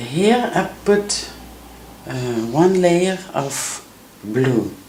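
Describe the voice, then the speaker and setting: Someone with a Belgian accent speaks against noticeable background noise. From Belgium. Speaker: painting teacher. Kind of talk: tutorial. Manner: halting.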